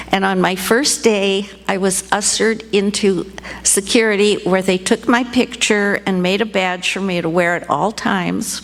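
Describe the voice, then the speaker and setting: A woman with an American accent speaks at a medium pitch and a fairly slow pace. Her intonation is fairly even, and background noise is noticeable. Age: 80s+. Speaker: storyteller, retired fashion designer. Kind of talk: live storytelling. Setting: stage with audience.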